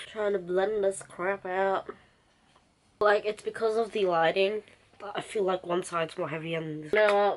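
A woman at a moderate pace with long, frequent pauses and fairly even intonation, over light background noise. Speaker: beauty vlogger. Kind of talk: casual makeup tutorial chat. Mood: relaxed, self-deprecating. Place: home room. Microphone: camera far.

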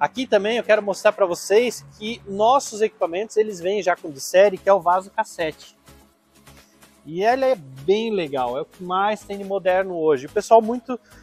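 A man's high voice at a moderate pace, with big swings in loudness, ordinary pitch variation and faint music in the background. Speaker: trailer salesman. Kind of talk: product demonstration. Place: garage. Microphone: lapel.

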